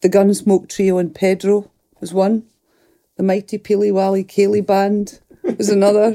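With a Scottish Highland accent, a woman speaks at a moderate pace in a flat monotone, leaving long, frequent pauses. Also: medium pitch for a woman. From Scottish Highlands (Fort William, Lochaber). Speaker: musician and actor. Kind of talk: casual chat. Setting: studio.

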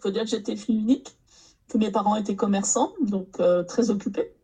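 A woman's somewhat breathy voice, fairly high in pitch with ordinary pitch variation and a dark, mellow tone, at a fairly quick pace. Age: 60s. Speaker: novelist. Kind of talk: casual chat.

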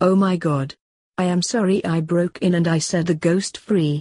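A raspy, put-on character voice sits at a middle pitch. The pace is moderate. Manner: insistent, pleading.

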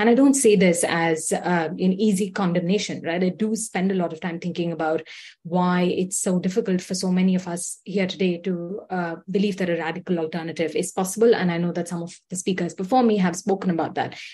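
Her voice is somewhat breathy and dark and mellow in tone, with medium pitch for a woman, fairly even intonation, a fairly quick pace and hardly any pauses. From India. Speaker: policy coordinator, activist. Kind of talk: rally speech. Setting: video call.

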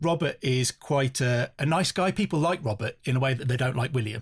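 The voice is somewhat breathy, moving at a fairly quick pace with ordinary pitch variation, in a very clean recording with a silent background. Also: man. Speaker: historian. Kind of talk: casual chat.

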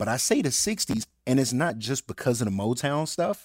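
A man with an American accent talks in a plain, everyday voice at medium pitch and moderate pace, with lively intonation and a dry, close sound with no echo. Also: very clean recording, silent background. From Birmingham, Alabama, US South. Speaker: music supervisor. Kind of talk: casual chat.

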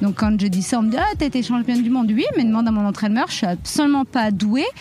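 A woman's fairly high voice with ordinary pitch variation amid noticeable background noise. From France, Reims area. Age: 30s. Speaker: professional boxer and teacher trainer. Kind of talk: podcast testimony.

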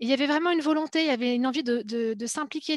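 A woman's voice comes through dry and close, with no echo and a quiet background. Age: 30s. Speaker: speech therapist and political newcomer. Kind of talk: panel discussion.

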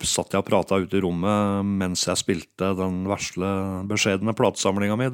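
A man speaks at a fairly low pitch. The recording is very clean with a silent background and a dry, close sound with no echo. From Norway, Hallingdal (Geilo). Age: 50s. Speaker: music producer and DJ. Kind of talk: interview. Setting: home studio living room.

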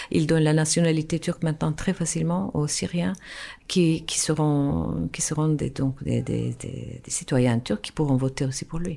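A woman with a Turkish accent speaks at a very deep, low pitch in a dark, mellow tone. Her pace is fairly slow and her pitch variation ordinary. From Turkey, Istanbul. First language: Turkish (speaking French). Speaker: musician and actress. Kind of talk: radio interview. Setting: radio studio. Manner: halting.

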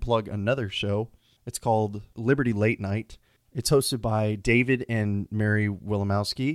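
A man with an American accent speaks in a plain, everyday voice, fairly low in pitch with fairly even intonation, the sound dry and close with no echo. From Texas, Houston. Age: 20s. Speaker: podcast host. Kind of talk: unscripted solo monologue. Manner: casual with frequent fillers.

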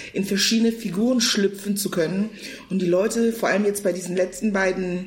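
A woman keeps a moderate pace as noticeable background noise is heard around her. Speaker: actress and comedian. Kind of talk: casual chat. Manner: loud.

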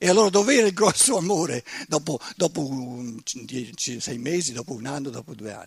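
Somewhat breathy and fairly high-pitched, a man speaks at a moderate pace with very wide pitch swings and big swings in loudness. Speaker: lecturer, author. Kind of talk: lecture.

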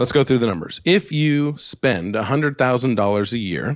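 With an American accent, a man uses an ordinary speaking voice and lively intonation on a very clean recording with a silent background. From Alaska. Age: 40s. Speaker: personal finance podcast host. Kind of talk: solo podcast monologue.

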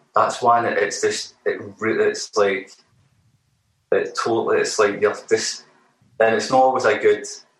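Long, frequent pauses break up the fairly slow speech, delivered in a Glaswegian accent. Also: man. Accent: Glaswegian Scottish. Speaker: musician, band frontman. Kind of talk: casual interview chat. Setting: remote interview. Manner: halting.

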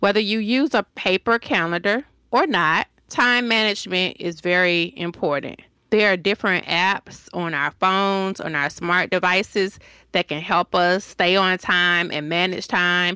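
A woman speaks fairly slowly at a medium pitch with ordinary pitch variation. The recording is very clean with a silent background, and the sound is dry and close with no echo. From Decatur, Georgia, US South. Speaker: designer and business owner. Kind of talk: interview answers, conversational.

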